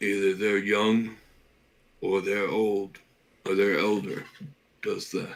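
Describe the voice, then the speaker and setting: A man in a raspy put-on character voice speaks at a fairly slow pace and fairly low pitch, with monotone, flat intonation and long, frequent pauses. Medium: actual play.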